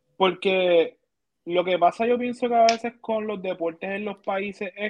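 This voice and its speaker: Fairly slow speech in a Puerto Rican accent. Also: man. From Puerto Rico, Manatí. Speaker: basketball podcast co-host. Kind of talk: casual chat.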